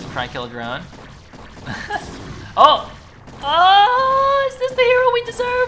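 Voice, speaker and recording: The voice moves at a fairly slow pace with long, frequent pauses over noticeable background noise. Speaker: esports caster. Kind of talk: live commentary. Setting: live stream. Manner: animated.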